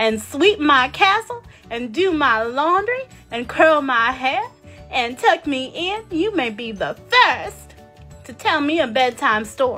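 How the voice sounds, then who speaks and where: Cackling in a put-on character voice, a woman projects at a high pitch with very wide pitch swings and a fairly slow pace, faint music playing in the background. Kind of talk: children's storytime puppet voice. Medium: puppet show. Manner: imperious, mocking, gleeful.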